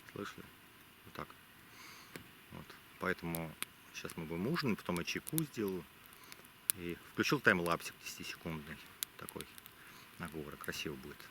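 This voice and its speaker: A man's very deep, low voice at a moderate pace, with ordinary pitch variation, long, frequent pauses, big swings in loudness and noticeable background noise. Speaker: travel vlogger. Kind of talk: vlog narration. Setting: outdoors. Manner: quiet; halting.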